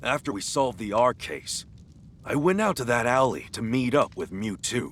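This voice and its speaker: A put-on character voice at a moderate pace, over clear background noise. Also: man, medium pitch for a man. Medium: video game.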